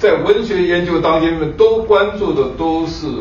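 There is audible room echo and light background noise as a man speaks at a very slow pace. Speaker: professor. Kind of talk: moderating a lecture. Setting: stage with audience. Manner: halting. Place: hall.

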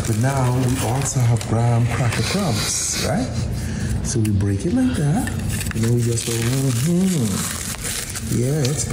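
Over loud background noise, the speech moves at a fairly slow pace with long, frequent pauses. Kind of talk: casual recipe demonstration. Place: kitchen.

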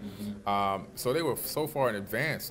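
A man speaks while noticeable background noise carries on behind him. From Miami, Florida, US. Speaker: author and alternative history researcher; interview guest. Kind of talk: interview. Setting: at a conference.

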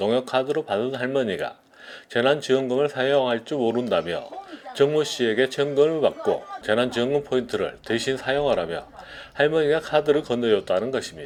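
A man speaks at a moderate pace with a fairly high pitch and ordinary pitch variation. Noticeable background noise runs behind him. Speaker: news reporter. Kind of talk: TV news report narration.

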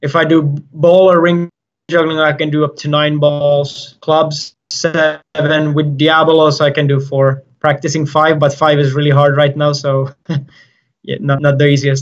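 With a Finnish accent, a man speaks fairly slowly at a fairly high pitch in a monotone, flat intonation. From Finland. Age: 20s. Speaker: circus juggler. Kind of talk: interview. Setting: video call. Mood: friendly, relaxed. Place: empty room. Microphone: video call.

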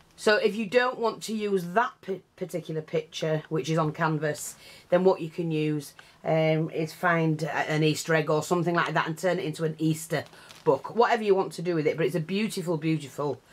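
With an ordinary speaking voice, a woman talks fairly quickly at a fairly low pitch, her pitch varying in an ordinary way. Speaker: craft seller. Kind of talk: tutorial. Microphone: camera far.

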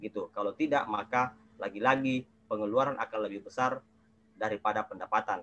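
A man speaks at a fairly quick pace. His intonation stays fairly even. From South Sulawesi, Indonesia. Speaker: legislative watchdog activist; webinar panelist. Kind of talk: webinar presentation; panel talk. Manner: halting, many fillers. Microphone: earbuds.

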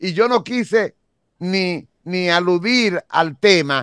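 Against a quiet background with a dry sound and no echo, a man speaks at a high pitch with lively intonation. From Dominican Republic. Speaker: detective and media commentator; political commentator, host. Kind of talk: interview. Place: studio. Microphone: studio mic.

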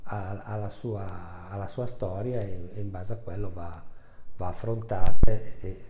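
A man talks at a fairly slow pace with fairly even intonation and big swings in loudness. There is audible room echo and light background noise. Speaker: family doctor. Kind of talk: interview answer. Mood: calm, reflective. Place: office. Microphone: lapel.

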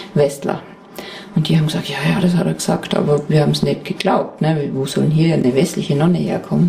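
The speech moves at a fairly quick pace with lively intonation. Noticeable background noise is present. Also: woman. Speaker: buddhist nun and meditation teacher. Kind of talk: interview.

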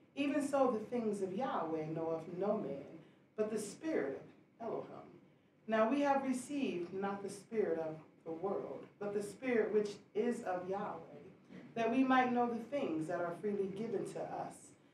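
A woman's voice with audible room echo over light background noise. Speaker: scripture reader. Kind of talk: scripture reading. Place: church.

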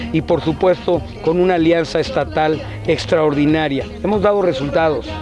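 A man speaks with ordinary pitch variation in a dry sound with no echo, with clear music in the background. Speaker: candidate. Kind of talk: interview answer. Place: open country. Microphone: handheld.

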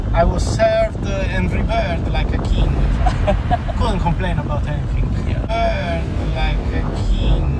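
A man speaking at a fairly slow pace, with long, frequent pauses and music in the background. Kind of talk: casual vlog chat. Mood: cheerful, a bit wistful. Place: car. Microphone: phone near.

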